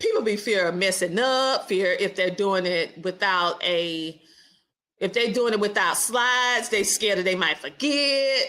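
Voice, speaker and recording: A woman with a Southern US accent talks at a fairly slow pace in a bright, sharp, animated tone with lively intonation. The recording is very clean, with a silent background. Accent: Southern twang. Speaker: podcast host. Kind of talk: casual interview chat.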